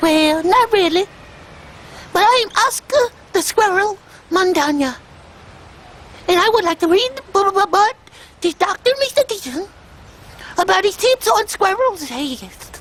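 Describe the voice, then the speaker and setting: This put-on character voice sits at an extremely high pitch and moves at a moderate pace. Long pauses come often. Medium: comedy sketch. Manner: sassy, insistent, comic.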